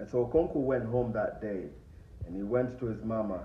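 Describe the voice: With audible room echo around him, a man speaks at a moderate pace at a fairly low pitch with ordinary pitch variation.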